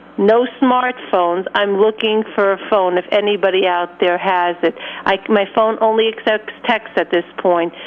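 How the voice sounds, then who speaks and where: Noticeable background noise sits behind a woman with a fairly high pitch. She speaks at a fairly slow pace with fairly even intonation. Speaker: caller. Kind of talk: phone-in. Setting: phone call.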